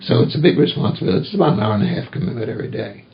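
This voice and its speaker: A very fast American-accented voice with very wide pitch swings over noticeable background noise. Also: man. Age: 70s. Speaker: retired pastor. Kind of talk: oral history interview.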